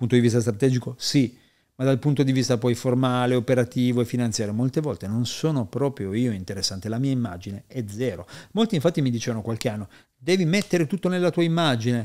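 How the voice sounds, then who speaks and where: A man talks at a very fast pace with lively intonation, his pitch medium and his tone dark and mellow. The background is quiet. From Piedmont, Italy (Asti); born Parma to Neapolitan parents; Piedmont, Italy. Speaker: entrepreneur and performance coach; performance coach. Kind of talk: podcast interview. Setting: studio in Milan, face to face. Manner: animated, profane. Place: studio. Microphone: studio mic.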